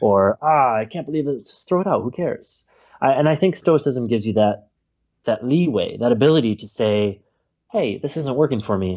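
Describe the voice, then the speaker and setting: With a normal speaking voice at medium pitch, a man talks at a fairly quick pace, his loudness swinging widely. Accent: American. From United States. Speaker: planner creator, stoicism practitioner. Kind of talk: interview conversation.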